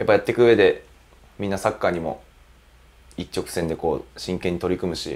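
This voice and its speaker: A man speaks at a fairly quick pace but leaves long, frequent pauses. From Gifu Prefecture, Japan. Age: 20s. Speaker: professional footballer, goalkeeper. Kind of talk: interview. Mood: relaxed, smiling. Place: studio. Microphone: lapel.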